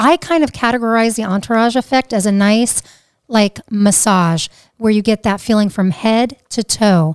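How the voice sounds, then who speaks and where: A woman with an American accent speaks in an energetic tone at a moderate pace, her loudness very even, on a very clean recording with a silent background and a dry, close sound with no echo. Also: fairly high pitch for a woman, ordinary pitch variation. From New Jersey. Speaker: podcast co-host, cannabis instructor. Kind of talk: casual chat.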